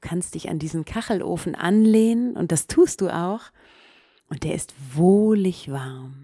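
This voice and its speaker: Her tone is dark and mellow. This woman's intonation stays lively throughout. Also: fairly slow pace. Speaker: meditation podcast host and storyteller. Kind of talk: guided meditation. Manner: calm, slow, soothing, second-person storytelling.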